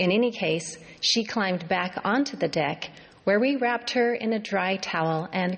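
The clip is made up of plain reading aloud.

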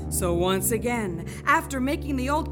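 A woman talks at a fairly slow pace. Behind her, music is playing. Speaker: storyteller. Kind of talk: folk tale narration with cello accompaniment. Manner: gentle, measured storytelling cadence.

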